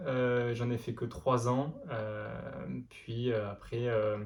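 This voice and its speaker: The speaker is a man with a medium pitch. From France, Lozère (Mende). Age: 20s. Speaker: amateur runner and notary. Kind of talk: interview. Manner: many hesitations (euh).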